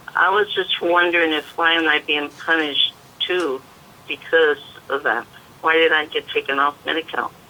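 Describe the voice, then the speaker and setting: A woman speaks at a very deep, low pitch in a monotone, flat intonation. Noticeable background noise is present. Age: 70s. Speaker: caller, home caregiver for her mother. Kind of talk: caller question. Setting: phone call. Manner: halting.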